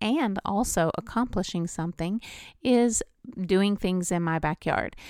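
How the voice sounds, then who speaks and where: In a normal speaking voice, a woman talks at a medium pitch and a fairly slow pace with ordinary pitch variation on a very clean recording with a silent background. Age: 50s. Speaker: health podcast host. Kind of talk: solo podcast monologue.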